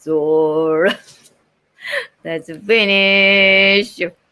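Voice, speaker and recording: With a Japanese accent, a woman speaks in a fairly low, bright and sharp voice, keeping her intonation fairly even. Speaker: voice-over artist. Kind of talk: casual talk on a live stream.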